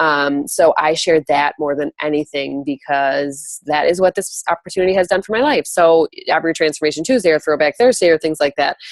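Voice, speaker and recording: A woman with a very deep, low pitch talks at a fairly quick pace with ordinary pitch variation, in a dry, close sound with no echo. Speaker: network marketing coach. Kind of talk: call-in training talk. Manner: fast.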